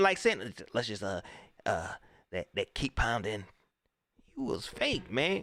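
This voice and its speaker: An animated man with a Carolinas accent, moderate pace and very wide pitch swings, in a very clean recording with a silent background. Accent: US Southern, Carolinas. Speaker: sports livestream host. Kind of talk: casual live stream commentary reading chat. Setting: live stream. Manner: animated, repetitive.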